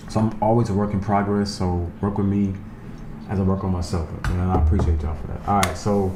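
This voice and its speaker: With a New York accent, a man talks at a fairly quick pace in a monotone with flat intonation. Audible room echo and noticeable background noise fill the recording. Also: fairly low pitch for a man. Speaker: YouTuber, Las Vegas guide. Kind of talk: casual vlog narration. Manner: not always clearly enunciated.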